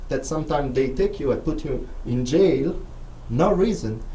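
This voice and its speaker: A man with an Italian accent, amid noticeable background noise and audible room echo. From Italy, Rome. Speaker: filmmaker and visiting scholar. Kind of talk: radio interview. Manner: halting, non-native phrasing.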